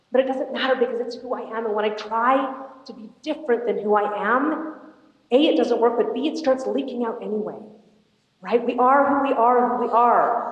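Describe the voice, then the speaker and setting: With audible room echo, a woman of high pitch speaks at a moderate pace, her loudness swinging widely. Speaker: motivational speaker. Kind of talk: inspirational talk. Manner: animated.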